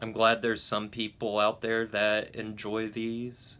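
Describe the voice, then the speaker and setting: Mumbling at a medium pitch, this man has a bright, sharp tone. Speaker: YouTube movie reviewer. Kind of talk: casual vlog talk to camera. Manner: stuttering, halting.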